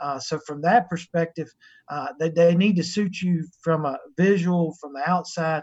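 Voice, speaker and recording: Speaking with a coastal North Carolina accent, a man keeps a fairly even intonation at a moderate pace and a high pitch. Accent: Southern US, North Carolina coastal. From North Carolina, US South. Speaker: sheep breeder and livestock show judge. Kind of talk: casual interview chat.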